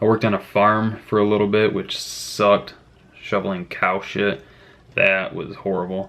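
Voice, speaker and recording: A man with an American accent speaks at a fairly low pitch in a monotone, flat intonation. Noticeable background noise is present. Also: moderate pace. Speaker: youtuber, freelance mechanic. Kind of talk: casual vlog chat.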